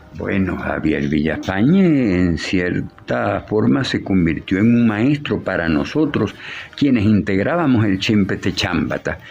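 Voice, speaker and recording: Over noticeable background noise, a man with a fairly low pitch speaks at a fairly slow pace. His pitch swings very widely while his loudness stays very even. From Venezuela, Maracaibo (Zulia). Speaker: puppeteer and writer. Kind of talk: interview.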